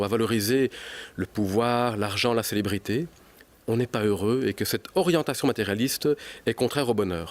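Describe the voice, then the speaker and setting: The sound is dry and close with no echo as a man with a slight Belgian accent speaks at a fairly quick pace. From Belgium. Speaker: psychology researcher and author. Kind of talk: TV news interview.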